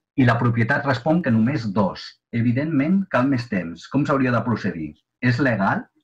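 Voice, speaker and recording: This man's voice is somewhat breathy. He talks fairly slowly, and his intonation is lively. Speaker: webinar moderator. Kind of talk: webinar moderation. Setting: video call. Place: home room. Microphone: video call.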